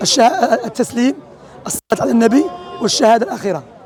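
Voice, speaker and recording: Over crowd noise in the background, a man speaks at an extremely high pitch with lively intonation. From Algeria, Oran. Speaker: street preacher. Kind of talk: religious teaching in street discussion.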